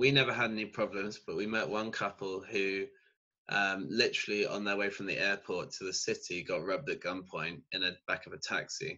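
The speaker talks at a fairly quick pace in a southern English accent. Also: man. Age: 20s. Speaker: student. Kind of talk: casual interview.

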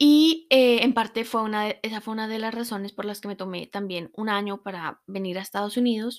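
In a very clean recording with a silent background, a woman with a fairly high pitch and ordinary pitch variation talks at a fairly quick pace with hardly any pauses. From Colombia. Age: 20s. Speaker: podcast host, meditation teacher. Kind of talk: personal testimony. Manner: hesitant, with fillers and repetitions.

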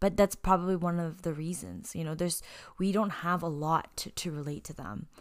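A woman's fairly low, an ordinary speaking voice, fairly even intonation and a fairly quick pace, in a very clean recording with a silent background. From Canada. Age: 30s. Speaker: podcast co-host. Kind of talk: casual chat.

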